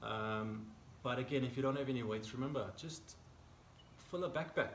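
The recording has audible room echo. Light background noise can be heard. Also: man. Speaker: fitness coach. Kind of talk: casual workout intro chat. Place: garden. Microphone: camera far.

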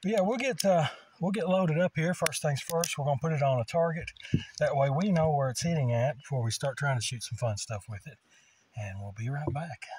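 Somewhat breathy and with lively intonation, a man talks at a fairly quick pace, the sound dry with no echo but with noticeable background noise. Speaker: firearm reviewer. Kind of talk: casual product review commentary. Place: open country. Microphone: phone near.

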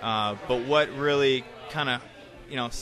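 Moderate-paced speech from a man, over clear background music. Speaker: guest. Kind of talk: interview answer. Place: bar. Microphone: studio mic.

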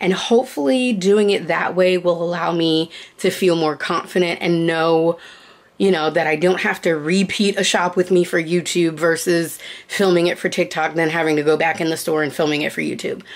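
A plain, everyday voice speaks at a moderate pace with fairly even intonation. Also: woman, fairly low pitch for a woman. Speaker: vlogger. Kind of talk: casual vlog chat. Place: home room. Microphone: phone near.

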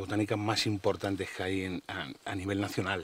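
A man speaks at a fairly low pitch, and the sound is dry with no echo. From Spain. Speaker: social media nature blogger. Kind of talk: interview. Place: forest. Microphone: lapel.

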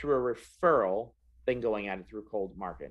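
A man speaks against a quiet background. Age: 40s. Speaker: sales trainer. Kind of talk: interview. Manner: animated. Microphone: video call.

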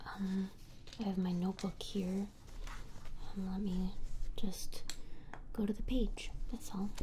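Someone soft-spoken talks at a fairly slow pace in a flat monotone. There is light background noise. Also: woman. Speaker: roleplay streamer. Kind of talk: soft casual roleplay chat. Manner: soft-spoken, quiet and close. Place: home room.

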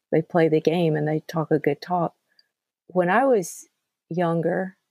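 A woman with a Southern US accent and a fairly low pitch speaks at a moderate pace in a dark, mellow tone with fairly even intonation, the sound dry and close with no echo. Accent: Southern US (Georgia). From US South, central Georgia. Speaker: podcast host. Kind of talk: casual chat.

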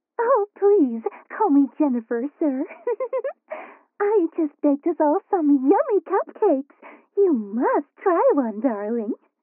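At a fairly slow pace with long, frequent pauses, a woman speaks at a high pitch with very wide pitch swings and very even loudness. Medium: audio drama. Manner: prim, saccharine, overly sweet.

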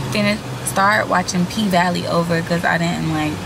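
A woman is speaking here. Noticeable background noise accompanies her. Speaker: lifestyle vlogger. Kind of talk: casual vlog chat. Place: car. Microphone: phone near.

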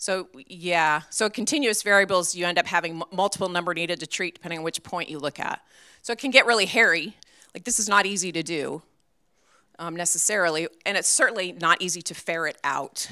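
A woman with an American accent, fairly low pitch, bright, sharp tone, ordinary pitch variation and fairly quick pace, on a very clean recording with a silent background. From New England, US. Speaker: veterinary pharmacology professor. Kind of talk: conference keynote lecture. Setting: stage with audience.

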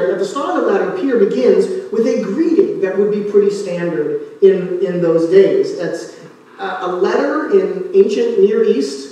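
There is strong room echo as a man talks at a moderate pace. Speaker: pastor. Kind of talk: sermon. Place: church.

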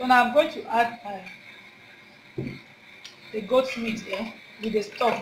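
Over noticeable background noise, a woman speaks at a fairly slow pace with fairly even intonation. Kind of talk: cooking tutorial. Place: kitchen.

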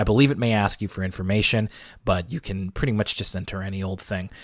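Very fast and fairly even in intonation, a man rattles through his lines. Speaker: podcast co-host. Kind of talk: casual chat. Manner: radio-host style delivery.

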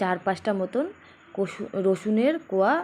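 Her tone is dark and mellow. The woman's pitch sits in the medium range. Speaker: cooking youtuber. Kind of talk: cooking tutorial. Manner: halting, words sometimes catch.

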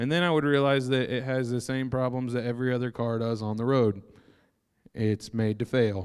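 In an unremarkable speaking voice, a man talks at a medium pitch and moderate pace with fairly even intonation against a quiet background. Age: 30s. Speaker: preacher. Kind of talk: sermon. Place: church. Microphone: handheld.

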